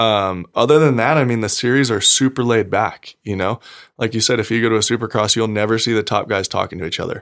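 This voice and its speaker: A man with an American accent talks very fast at a medium pitch, his pitch varying in an ordinary way. The recording is very clean with a silent background. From Nevada, US (Gardnerville). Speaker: professional off-road motorcycle racer. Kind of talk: casual chat.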